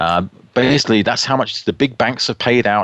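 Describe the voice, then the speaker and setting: A man's fairly low voice with a bright, sharp tone. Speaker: guest radio host. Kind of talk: radio talk show news roundup. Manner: casual with many fillers (uh, um).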